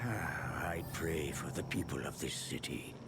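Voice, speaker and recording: A man performs a cartoonish character voice at a fairly slow pace. Loud background noise sits behind him. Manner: earnest, stirring.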